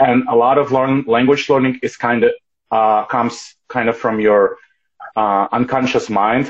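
In a Russian accent, a man speaks at a medium pitch and a fairly slow pace with monotone, flat intonation. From Ukraine. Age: 20s. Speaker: polyglot language learner. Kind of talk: casual interview. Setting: Instagram live stream.

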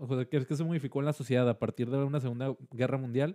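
Delivered at a fairly quick pace with a Mexican accent, the speech has a dry, close sound with no echo. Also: man. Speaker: podcast host. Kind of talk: casual chat.

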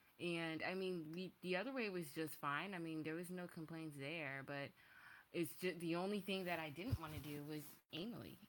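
A woman speaks in an unremarkable speaking voice. Her pace is moderate. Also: fairly low pitch for a woman, ordinary pitch variation. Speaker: podcast host. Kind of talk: casual chat.

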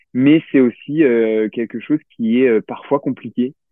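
A man's voice with fairly even intonation. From Limousin, France (Limoges, countryside). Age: 30s. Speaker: entrepreneur, brand founder. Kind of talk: interview. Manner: halting, many fillers and repetitions.

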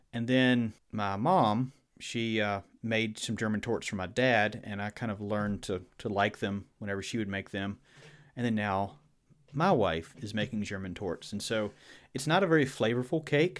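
Recorded very cleanly against a silent background, a man with a Southern US accent speaks at a moderate pace in a fairly low pitch. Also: ordinary pitch variation. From Virginia. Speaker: podcast host. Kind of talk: casual chat.

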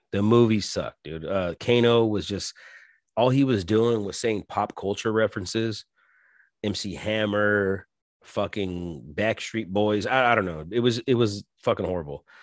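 A man speaks at a moderate pace in a fairly low voice with ordinary pitch variation, an ordinary speaking voice. The recording is very clean, with a silent background and a dry, close sound with no echo. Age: 40s. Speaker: podcast host. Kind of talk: casual solo monologue. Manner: filler-heavy, frequent ums.

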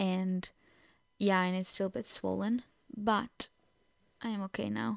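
Speaking at a fairly slow pace with long, frequent pauses, a woman with a Portuguese accent keeps a medium pitch and fairly even intonation, on a very clean recording with a silent background and a dry, close sound with no echo. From Portugal. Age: 20s. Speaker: podcaster. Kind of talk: casual monologue. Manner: halting.

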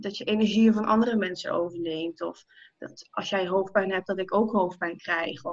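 Medium-pitched female speech with ordinary variation in pitch. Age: 20s. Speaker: spiritual coach, numerologist. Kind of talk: casual interview. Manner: halting, many fillers.

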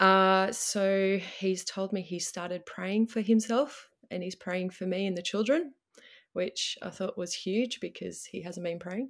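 In a very clean recording with a silent background, a woman with an Australian accent speaks fairly slowly. Her medium pitch carries fairly even intonation. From Melbourne, Australia. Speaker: guest dealing with husband leaving.

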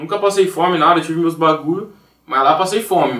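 This man has a plain, everyday voice. It is fairly high in pitch and moves at a fairly quick pace. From Brazil, Campinas (São Paulo state). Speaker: music producer. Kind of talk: casual chat.

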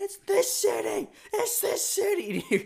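A shouted, put-on character voice at an extremely high pitch and fairly slow pace. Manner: screaming, shouting.

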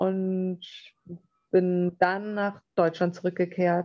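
A woman's fairly low voice, monotone and flat, at a very slow pace. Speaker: capoeira trainer. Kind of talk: interview.

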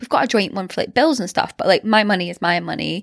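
Heard on a very clean recording with a silent background and a dry, close sound with no echo, a woman with a Scottish accent speaks with ordinary pitch variation. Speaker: podcast co-host. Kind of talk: casual chat. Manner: energetic.

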